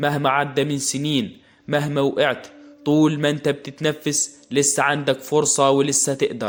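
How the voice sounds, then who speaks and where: This voice, with an Egyptian accent, moves at a fairly slow pace. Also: man. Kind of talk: motivational podcast talk. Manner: warm, encouraging.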